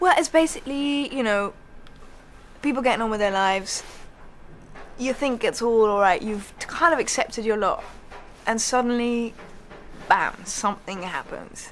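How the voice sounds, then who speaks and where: Long, frequent pauses run through the speech of a woman with a British accent. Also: fairly high pitch for a woman, moderate pace. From England. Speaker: actress. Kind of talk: interview answer. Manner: casual, chatty.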